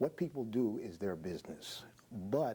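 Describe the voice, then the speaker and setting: Lively in intonation, a man with a fairly low pitch and dark, mellow tone speaks at a moderate pace. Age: 60s. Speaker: minister. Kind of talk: TV panel debate.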